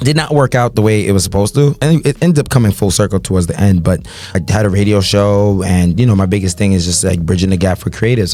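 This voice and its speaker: Very fast, fairly low-pitched male speech with hardly any pauses, very even loudness and noticeable background noise. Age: 20s. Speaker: party promoter and event host. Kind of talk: casual podcast conversation. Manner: animated.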